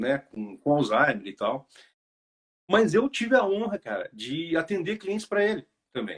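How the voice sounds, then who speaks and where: Long, frequent pauses mark a man's speech at a fairly slow pace. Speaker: hairdresser. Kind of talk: casual chat.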